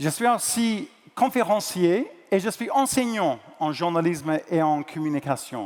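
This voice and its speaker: High male pitch, swinging very widely up and down. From New Zealand. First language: English (speaking French). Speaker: journalist and conference moderator. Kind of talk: event moderation to live audience. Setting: stage with audience. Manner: hesitant, with fillers.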